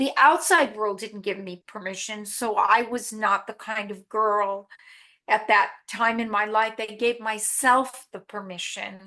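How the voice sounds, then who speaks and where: At a fairly slow pace, a woman talks with fairly high pitch and a bright, sharp tone. Her intonation is fairly even, but her loudness swings a lot. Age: 60s. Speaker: actress. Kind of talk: casual chat. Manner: halting.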